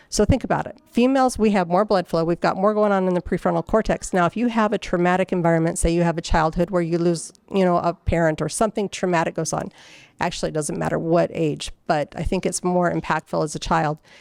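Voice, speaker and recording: Here a woman talks at a very fast pace. Her pitch is fairly low, with ordinary variation. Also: very clean recording, silent background. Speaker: conference speaker. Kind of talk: conference talk. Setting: stage with audience. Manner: halting.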